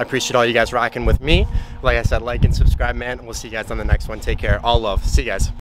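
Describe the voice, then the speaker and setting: With noticeable background noise, a man speaks at a very fast pace in a dry sound with no echo, his loudness swinging widely. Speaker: fitness vlogger. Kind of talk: casual vlog chat. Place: street. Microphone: phone near.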